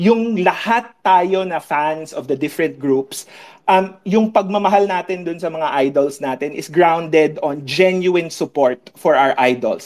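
In a very clean recording with a silent background, a man speaks fairly slowly at a high pitch with ordinary pitch variation. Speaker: lawyer and campaign volunteer.

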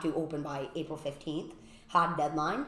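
In a Boston accent, a woman with a fairly low pitch talks at a moderate pace, with audible room echo around her. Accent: Boston-area New England. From Massachusetts, Brockton. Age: 40s. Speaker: event space owner. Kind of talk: casual interview.

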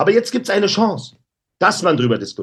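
A man's loud voice in an animated tone. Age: 50s. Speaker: anti-bullying activist. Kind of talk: interview.

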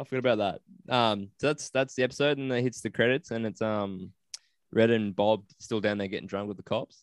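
A man with an Australian accent talks at a fairly quick pace. His intonation stays fairly even, and the sound is dry and close with no echo. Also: medium pitch for a man. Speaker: podcast host. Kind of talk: casual chat.

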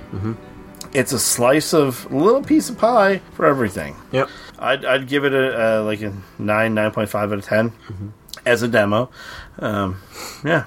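This man speaks at a moderate pace with medium pitch and lively intonation. Long, frequent pauses break up his speech, and noticeable background noise runs underneath. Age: 30s. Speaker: podcast host. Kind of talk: casual chat. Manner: hesitant, many fillers.

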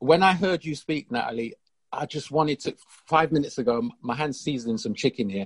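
Speaking at a moderate pace, a man with a fairly high pitch and lively intonation has an ordinary speaking voice, recorded with a dry, close sound and no echo. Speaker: audience participant. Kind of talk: webinar discussion.

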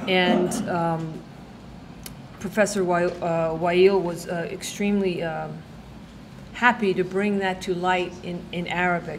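Against noticeable background noise, a woman at medium pitch speaks very slowly in a flat monotone, with long, frequent pauses. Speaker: event organizer. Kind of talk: formal introduction. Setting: stage with audience.

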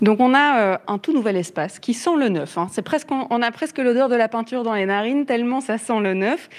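With a normal speaking voice, a woman talks at a moderate pace and a fairly high pitch, her intonation lively and hardly any pauses between words. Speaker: radio host. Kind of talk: live radio interview. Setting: on location, live radio.

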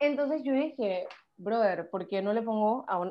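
A plain, everyday voice with ordinary pitch variation at a moderate pace. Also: woman. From Panama. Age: 20s. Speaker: psychology student and activist. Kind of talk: casual interview chat.

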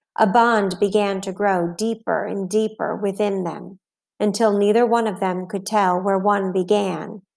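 Against a quiet background, the intonation of a natural reading voice stays fairly even.

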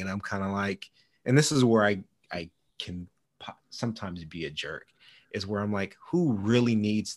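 A man with a plain, everyday voice speaks at a moderate pace and a fairly low pitch, with ordinary pitch variation. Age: 40s. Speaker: data and systems analyst. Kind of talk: casual chat.

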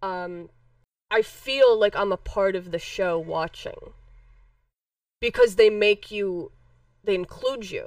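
Woman with an American accent, very slow pace, long and frequent pauses, big swings in loudness. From Chicago. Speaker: wrestling podcast co-host. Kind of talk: casual chat.

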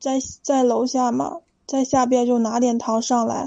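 In a high pitch with a dark, mellow tone, a woman speaks at a fairly slow pace with monotone, flat intonation. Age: 20s. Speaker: caller. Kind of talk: call-in advice talk. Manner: halting.

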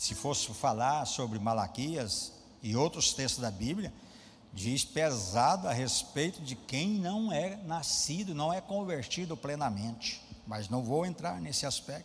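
In a Brazilian accent, a man speaks at a fairly slow pace and fairly high pitch with very wide pitch swings, amid audible room echo. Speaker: pastor. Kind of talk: sermon.

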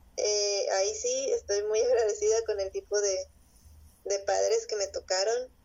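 This woman keeps her loudness very even. Her pace is fairly slow. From Mexico, Monterrey. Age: 20s. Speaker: illustrator and comic artist. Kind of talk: interview.

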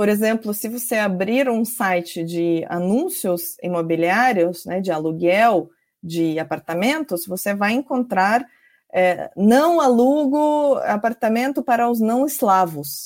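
The recording is very clean, with a silent background. A woman speaks very slowly, her pitch swinging very widely. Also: medium pitch for a woman. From Georgia. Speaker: sociology professor. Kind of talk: interview. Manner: halting with many fillers.

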